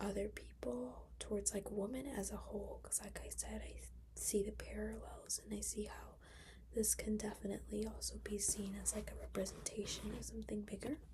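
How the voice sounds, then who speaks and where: A woman speaks at a fairly quick pace. She is soft-spoken. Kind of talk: casual talk to camera, movie review.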